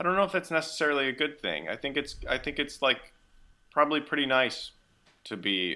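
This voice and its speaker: A man with an American accent speaks in a bright, sharp voice with vocal fry, recorded very cleanly over a silent background. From Missouri. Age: 30s. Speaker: podcast host. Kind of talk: casual interview.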